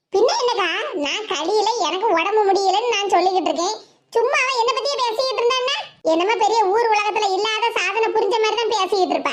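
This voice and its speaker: Echo is audible. A woman uses a cartoonish character voice at an extremely high pitch. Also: moderate pace, ordinary pitch variation. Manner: aggrieved, insistent.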